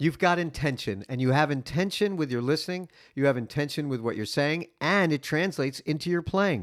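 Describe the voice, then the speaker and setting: With an American accent and an ordinary speaking voice, a man talks at a fairly quick pace and fairly high pitch, with ordinary pitch variation and hardly any pauses, in a very clean recording with a silent background. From New York. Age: 50s. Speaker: podcast host. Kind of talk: casual interview. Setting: guest's dining room.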